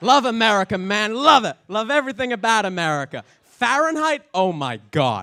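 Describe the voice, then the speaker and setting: A man's high, bright, sharp voice, raised and projected, animated in tone, with very wide pitch swings and hardly any pauses. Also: moderate pace. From England. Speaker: comedian. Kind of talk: stand-up. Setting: stage with audience.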